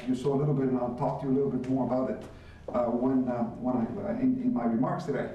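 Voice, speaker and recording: A man speaks at a very fast pace with medium pitch and ordinary pitch variation. Audible room echo and noticeable background noise fill the recording. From Cuba, raised in Miami. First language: Spanish. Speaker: business executive. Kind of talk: lecture.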